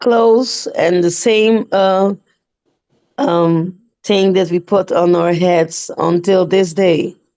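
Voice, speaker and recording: A woman's medium-pitched voice with a non-native accent, a dark, mellow tone, fairly even intonation, very even loudness, and a very slow pace. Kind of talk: casual live-stream chat. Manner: halting, hesitant.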